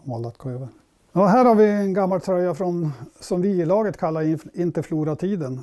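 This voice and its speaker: At a fairly quick pace, the speaker's dark, mellow tone carries ordinary pitch variation over a quiet background. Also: man. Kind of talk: interview answer. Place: home room. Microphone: lapel.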